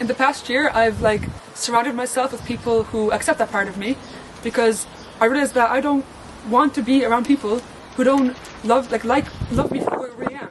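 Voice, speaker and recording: Background noise is noticeable as a woman speaks in a high voice with fairly even intonation. She leaves long, frequent pauses. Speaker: animation course applicant. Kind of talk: personal statement talk to camera.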